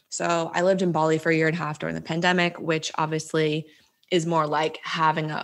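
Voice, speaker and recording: A woman's very deep, low-pitched voice in a monotone, flat intonation. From New Jersey. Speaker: digital nomad coach. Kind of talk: casual chat.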